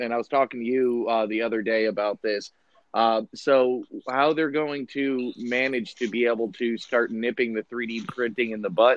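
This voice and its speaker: The pace here is moderate. It is an ordinary speaking voice, with fairly even intonation. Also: man, medium pitch for a man. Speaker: podcast host. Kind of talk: casual chat. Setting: video call.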